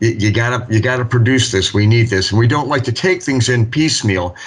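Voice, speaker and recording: A man's mid-range voice, somewhat breathy, keeps a fairly level intonation. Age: 60s. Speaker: municipal building official. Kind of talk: public meeting discussion. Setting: city board meeting.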